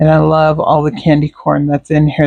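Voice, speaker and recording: A woman with a very deep, low pitch and a dark, mellow tone speaks at a fairly slow pace, the sound dry and close with no echo. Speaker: scrapbooking crafter. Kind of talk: unboxing tutorial. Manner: casual with fillers.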